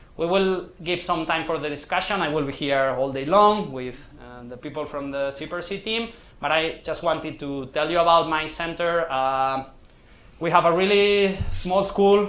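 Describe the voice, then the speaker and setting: Audible room echo surrounds a man speaking at a moderate pace. His voice sits fairly high, with ordinary pitch variation. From Catalonia, Spain. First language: Catalan or Spanish. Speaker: sports science researcher. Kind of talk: lecture. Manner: halting.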